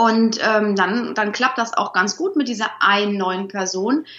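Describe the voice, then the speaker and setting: A woman speaks at a fairly slow pace with ordinary pitch variation in an ordinary speaking voice. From Rhineland, Germany (Troisdorf near Bonn). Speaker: dog trainer. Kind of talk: interview.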